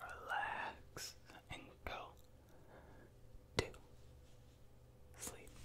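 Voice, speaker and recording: Soft-spoken and whispering, a man talks at a very slow pace over noticeable background noise. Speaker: ASMR creator. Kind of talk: soft repetitive sleep prompts. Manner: soft close-mic ASMR whisper. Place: home room. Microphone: studio mic.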